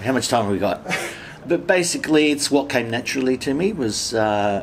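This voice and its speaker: Over light background noise, a man speaks at a moderate pace with an Australian accent. His pitch swings very widely. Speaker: comedian. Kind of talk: interview answer. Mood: cheerful, laughing. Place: home room.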